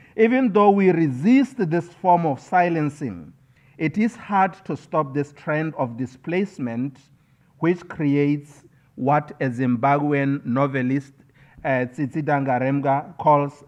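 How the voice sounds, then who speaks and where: Here a man speaks with a Botswana accent at a fairly slow pace. His pitch sits fairly high and his intonation is lively. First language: Setswana. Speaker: scholar and poet. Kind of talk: keynote speech. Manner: formal.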